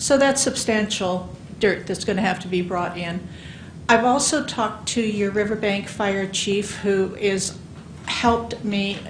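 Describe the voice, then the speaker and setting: Speaking with an American accent, a woman uses a medium pitch and fairly even intonation at a fairly slow pace. There is audible room echo. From California Central Valley. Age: 60s. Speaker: public commenter, local resident. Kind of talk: public comment at a commission meeting. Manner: halting.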